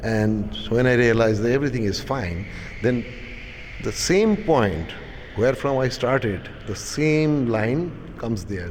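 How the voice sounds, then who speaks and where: A man's medium-pitched voice at a fairly slow pace, with lively intonation, audible room echo and noticeable background noise. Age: 60s. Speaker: artist. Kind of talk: interview. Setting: art gallery.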